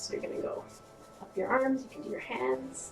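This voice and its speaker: A woman speaks with music in the background. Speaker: holistic nutritionist and health show host. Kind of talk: tutorial. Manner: casual, friendly direct address; slightly quick pace during demonstration.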